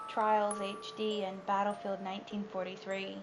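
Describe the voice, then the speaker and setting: Music plays in the background as a woman talks at a fairly slow pace in a medium pitch. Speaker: creepypasta narrator. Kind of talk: horror story reading. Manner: stuttering, some pauses and repeated words.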